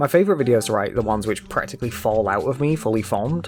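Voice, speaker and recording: A man with a medium-pitched voice talks at a very fast clip, his intonation lively, over noticeable background noise. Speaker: YouTube creator and game developer. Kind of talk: scripted narration.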